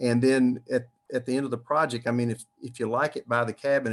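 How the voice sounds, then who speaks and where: A man speaks very fast with a Southern US accent. His intonation stays fairly even. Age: 70s. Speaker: retired dentist and builder. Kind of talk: online Q&A panel. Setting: livestreamed online meetup.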